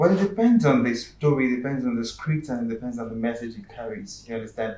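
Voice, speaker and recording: A man with a Yoruba accent talks at a very fast pace in a medium pitch, his loudness swinging widely while his pitch varies in an ordinary way. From Nigeria, Yoruba. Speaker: actor and screenwriter. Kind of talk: talk show interview.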